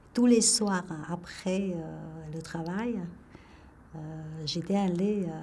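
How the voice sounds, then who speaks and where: A woman speaks with a Vietnamese accent at a very slow pace, her pitch fairly low. Her pitch varies in an ordinary way, and audible room echo surrounds her. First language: Vietnamese (speaking French). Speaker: retired engineer telling her life story. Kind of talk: life story testimony. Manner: halting, many hesitations.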